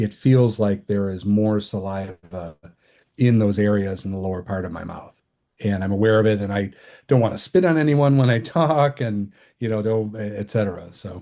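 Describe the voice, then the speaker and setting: Over a quiet background, a man with an American accent talks at a moderate pace, his fairly low voice dark and mellow in tone with ordinary pitch variation. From Michigan. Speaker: oral cancer survivor. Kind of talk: interview. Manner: halting.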